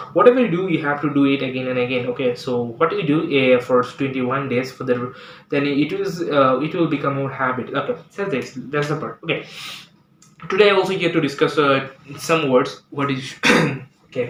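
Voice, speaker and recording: A man's fairly quick speech in a Bangladeshi accent, fairly high in pitch with ordinary pitch variation, over noticeable background noise. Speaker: English teacher. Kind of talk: tutorial. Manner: halting.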